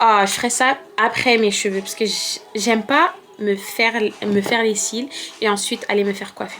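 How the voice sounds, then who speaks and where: With music in the background, a woman speaks at a moderate pace in a fairly high pitch. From France. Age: 20s. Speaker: beauty and lifestyle vlogger. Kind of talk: casual vlog talk to camera. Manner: hesitant, many fillers.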